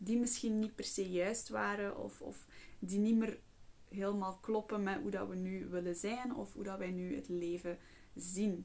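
In an ordinary speaking voice, a woman talks at medium pitch and a fairly slow pace, her intonation fairly even. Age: 20s. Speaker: psychologist and podcast host. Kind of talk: casual monologue.

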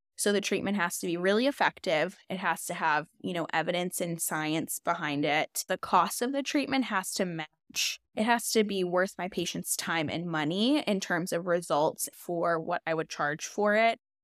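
A woman with a plain, everyday voice talks at a moderate pace in a fairly low pitch, her intonation lively and her pauses few, in a very clean recording with a silent background and a dry, close sound free of echo. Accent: American. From Chicago. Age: 20s. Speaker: nurse practitioner and med spa owner. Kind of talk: casual chat.

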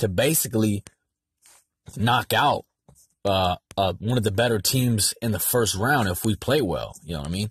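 A man with an American accent speaks in a fairly low, somewhat breathy voice with an animated tone and ordinary pitch variation. His pace is moderate, and the sound is dry and close with no echo over a quiet background. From San Diego, California. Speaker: sports podcast host. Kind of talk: solo sports commentary monologue. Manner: casual, animated.

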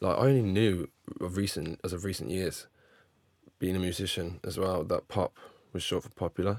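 At a moderate pace with long, frequent pauses, a man speaks with a very deep, low pitch and ordinary pitch variation. The recording is very clean and dry, with a silent background and a close sound with no echo. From England. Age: 20s. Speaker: podcast host. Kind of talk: casual chat.

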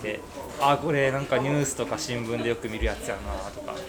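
Delivered at a very fast pace with ordinary pitch variation, the speech comes through noticeable background noise and audible room echo. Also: man. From Kyoto, Japan. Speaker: listener guest. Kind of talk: casual chat.

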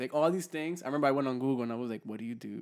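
A man talks at a medium pitch. The recording is very clean with a silent background. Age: 20s. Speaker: podcast co-host. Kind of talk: casual chat. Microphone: new handheld mic.

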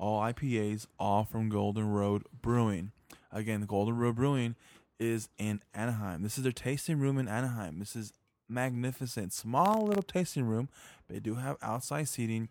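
A man with an ordinary speaking voice and an American accent talks at a medium pitch and a moderate pace, with ordinary pitch variation. The recording is very clean, with a silent background. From Orange County, California. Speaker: podcast host. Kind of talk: casual chat.

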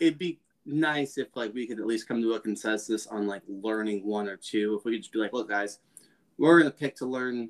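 In a normal speaking voice, a man with an American accent talks at a moderate pace and medium pitch with ordinary pitch variation, recorded dry and close with no echo. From US. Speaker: podcast co-host. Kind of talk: casual chat.

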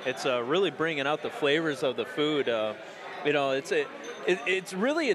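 A man with a fairly high pitch talks at a fairly quick pace, noticeable background noise behind him. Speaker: podcast host. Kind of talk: casual chat.

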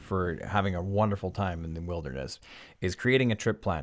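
A man speaks with a British Columbian accent. His tone is enthusiastic. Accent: Canadian (British Columbia). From Vancouver Island, Canada. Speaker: podcast host. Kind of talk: casual storytelling monologue.

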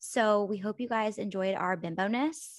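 A woman's voice sits at a medium pitch. Behind her, the background is quiet. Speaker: podcast co-host, influencer. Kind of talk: casual chat. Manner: animated.

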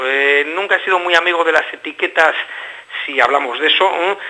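A man speaks in a high pitch. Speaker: band member musician. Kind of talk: radio interview.

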